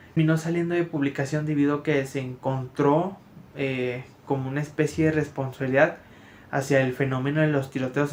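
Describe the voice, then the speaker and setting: Fairly quick, monotone delivery from a man with a fairly high pitch, amid noticeable background noise. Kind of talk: casual talk to camera. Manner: stammering, many filler words.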